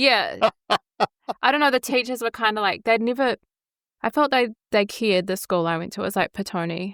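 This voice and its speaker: On a very clean recording with a silent background and a dry, close sound with no echo, a woman with fairly high pitch and ordinary pitch variation speaks at a fairly quick pace, leaving long, frequent pauses. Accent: New Zealand. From New Zealand. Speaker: podcast host. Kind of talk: podcast interview.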